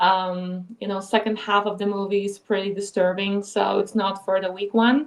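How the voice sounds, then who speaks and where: Speaking at a moderate pace with hardly any pauses, the woman keeps a medium pitch and a monotone, flat intonation. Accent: Polish. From Poland. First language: Polish. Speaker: filmmaker and actress. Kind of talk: casual chat.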